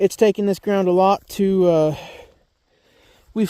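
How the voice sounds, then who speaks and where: This is a man speaking. His pitch sits high. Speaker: rancher. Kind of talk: casual vlog narration. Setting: outdoors in a field.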